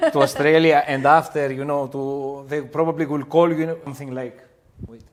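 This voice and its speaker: A man with a Greek accent speaks fairly quickly in a fairly high voice. His intonation is monotone and flat, while his loudness swings widely. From Greece. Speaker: restaurant owner. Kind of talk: podcast interview. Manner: halting, with many fillers.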